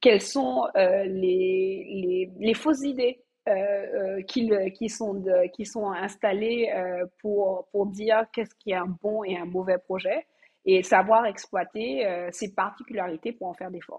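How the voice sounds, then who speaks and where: A woman speaks very slowly at a medium pitch. Her loudness swings widely. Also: ordinary pitch variation. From Martinique. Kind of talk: interview. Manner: halting.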